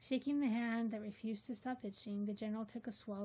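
Plain reading aloud, the intonation fairly even

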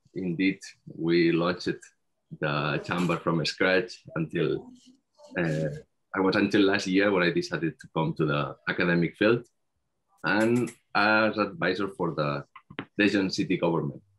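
A man's very deep, low voice at a moderate pace, with ordinary pitch variation, long, frequent pauses and light background noise. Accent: Spanish. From Spain, Barcelona; Catalonia, Spain. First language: Spanish. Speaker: PhD researcher; conference presenter. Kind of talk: conference presentation. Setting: video call. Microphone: video call.

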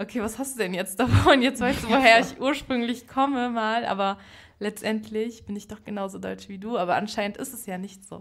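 Speaking at a fairly quick pace, a woman with a fairly high pitch, vocal fry, ordinary pitch variation and big swings in loudness. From Berlin, Germany. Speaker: podcast guest, young activist. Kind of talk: casual interview conversation. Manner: animated, extroverted.

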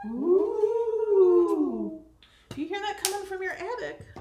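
A put-on character voice speaks at an extremely high pitch and a very slow pace. A slight echo surrounds it. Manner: spooky, drawn-out.

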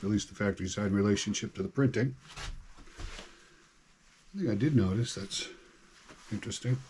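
A man's somewhat breathy voice, fairly low in pitch with ordinary pitch variation, over light background noise. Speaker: hobbyist demonstrating chainsaw maintenance. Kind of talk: tutorial. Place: garage. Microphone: camera far.

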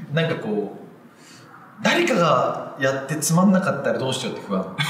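There is audible room echo and light background noise. Over it, a man speaks at a moderate pace. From Japan, Ehime. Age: 30s. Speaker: film director, screenwriter. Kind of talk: interview answer. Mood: relaxed, smiling, reflective. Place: empty room.

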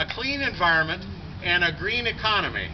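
A man is heard with light background noise. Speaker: speaker. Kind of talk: rally speech. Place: street. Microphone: camera far.

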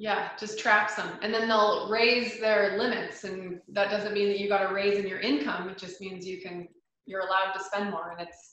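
A woman with a plain, everyday voice speaks at a moderate pace and medium pitch, with fairly even intonation and big swings in loudness. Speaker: financial planner. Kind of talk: educational presentation.

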